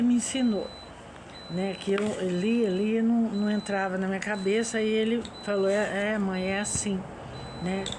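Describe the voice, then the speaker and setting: A woman of medium pitch speaks very slowly in a monotone, flat intonation, with audible room echo and noticeable background noise. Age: 60s. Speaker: religious vlogger. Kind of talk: personal reflection monologue. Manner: halting.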